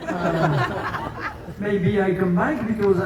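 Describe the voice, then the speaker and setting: Audible room echo and noticeable background noise surround the recording. A man speaks at a high pitch. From France. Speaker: sled dog musher. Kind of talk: award acceptance speech. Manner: halting, broken English.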